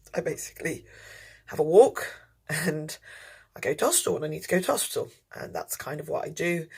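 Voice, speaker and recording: A woman with an English accent talks at a very fast pace, broken by long, frequent pauses, with big swings in loudness. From England, outskirts of London. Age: 30s. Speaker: tour guide and lecturer. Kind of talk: interview. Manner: hesitant, many fillers.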